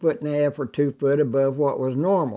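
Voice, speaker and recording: A quiet background surrounds the speech. The tone is dark and mellow. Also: man. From southern Illinois (Cache River area). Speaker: local landowner, river activist. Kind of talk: documentary interview.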